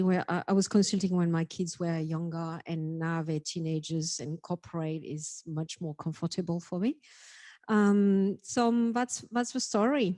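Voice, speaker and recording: A woman in a French accent, medium-pitched and dark and mellow in tone, at a moderate pace with ordinary pitch variation, in a dry, close sound with no echo and a quiet background. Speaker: data and analytics executive. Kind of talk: panel introduction. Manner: halting.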